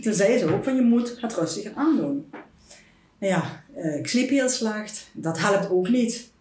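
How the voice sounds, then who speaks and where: A woman's very slow speech with lively intonation, against noticeable background noise. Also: fairly high pitch for a woman. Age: 50s. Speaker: food blogger. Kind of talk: personal testimony in interview. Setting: at her home.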